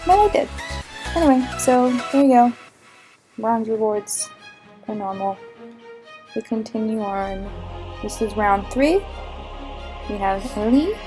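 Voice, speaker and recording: A woman's fairly high voice at a fairly slow pace with lively intonation and long, frequent pauses, music in the background. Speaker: gaming YouTuber. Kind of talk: game walkthrough narration.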